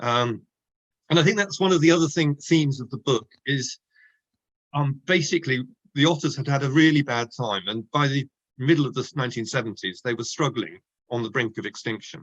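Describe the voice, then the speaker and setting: The speaker talks at a fairly quick pace with an Oxford accent. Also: man, fairly high pitch for a man, ordinary pitch variation. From southern England, Oxford. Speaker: author, nature writer. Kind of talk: book launch interview. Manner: hesitant, many fillers and restarts.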